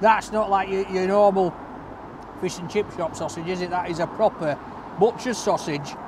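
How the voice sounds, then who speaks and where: The sound is dry with no echo but has noticeable background noise, and the speech moves at a moderate pace with fairly even intonation. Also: man. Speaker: food reviewer. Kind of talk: casual food review vlog. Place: street. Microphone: camera far.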